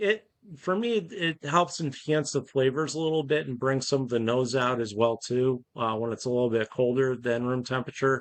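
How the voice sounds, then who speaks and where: Speaking in a New York accent, a man talks at a moderate pace and medium pitch with ordinary pitch variation and hardly any pauses. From upstate New York. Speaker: charity volunteer leader. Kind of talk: casual chat.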